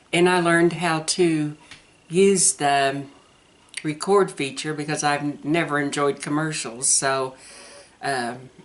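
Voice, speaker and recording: The speech moves at a very slow pace with long, frequent pauses, and noticeable background noise sits behind it. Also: woman, very deep, low pitch for a woman, ordinary pitch variation. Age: 60s. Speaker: beauty vlogger. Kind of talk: casual chat. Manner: halting.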